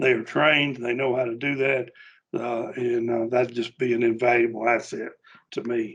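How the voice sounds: This man talks at a moderate pace with a fairly bright tone, a slightly husky edge and little pitch movement. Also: medium pitch for a man.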